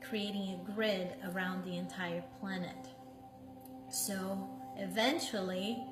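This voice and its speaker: Against background music and audible room echo, a woman speaks very slowly with long, frequent pauses. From Brazil. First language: Portuguese. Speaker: meditation teacher. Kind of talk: casual chat. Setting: live stream. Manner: halting, with many fillers.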